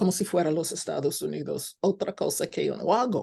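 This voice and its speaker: A woman with a non-native accent speaks at a moderate pace in a medium pitch, her tone dark and mellow. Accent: foreign accent in Spanish. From United States. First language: English (speaking Spanish). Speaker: scholar lecturer. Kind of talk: lecture. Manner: halting, with fillers.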